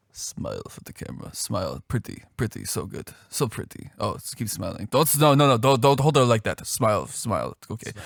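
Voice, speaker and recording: A man puts on a raspy character voice with a Russian accent, medium in pitch, talking at a fairly quick pace with hardly any pauses and big swings in loudness, in a very clean, dry, close recording with a silent background and no echo. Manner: bossy, gushing, coaxing.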